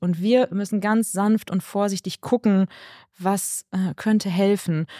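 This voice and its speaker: Recorded very cleanly with a silent background and a dry, close sound with no echo, a woman of medium pitch speaks in a dark, mellow tone with ordinary pitch variation. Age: 40s. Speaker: naturopath and nutrition consultant. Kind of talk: interview.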